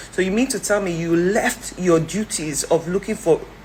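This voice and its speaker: Noticeable background noise accompanies a woman speaking in an animated tone at a medium pitch with ordinary pitch variation. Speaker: commentator. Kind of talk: opinion vlog. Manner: fast.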